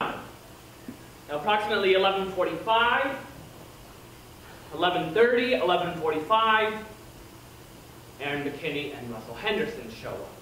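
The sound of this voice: A man does a put-on character voice, high in pitch with a bright, sharp tone and lively intonation. Long, frequent pauses break it up, and strong room echo surrounds it. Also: fairly slow pace.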